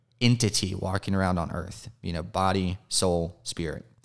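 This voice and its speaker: A man with an American accent speaks at a moderate pace in a very deep, low pitch. His intonation stays fairly even on a very clean recording with a silent background. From US South. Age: 30s. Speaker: addiction recovery advocate. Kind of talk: interview.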